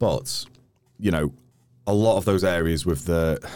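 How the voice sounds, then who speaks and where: A man's very deep, low voice in a North Wales accent, dark and mellow in tone with vocal fry and ordinary pitch variation, on a very clean recording with a silent background. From North Wales, Wrexham area. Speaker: climber and hiker. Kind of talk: casual chat.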